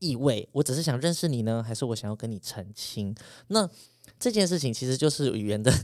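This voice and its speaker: An ordinary speaking voice from a man of medium pitch, fairly quick with lively intonation, on a very clean recording with a silent background. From Taiwan, urban. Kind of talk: interview.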